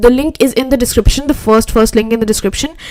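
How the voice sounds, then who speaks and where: A woman with an Indian accent talks at a fairly high pitch, her pitch varying in an ordinary way. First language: Hindi. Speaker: web designer and YouTuber. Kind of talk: live stream reaction and chat. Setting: live stream. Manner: casual, repetitive, stammering. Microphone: poor audio quality.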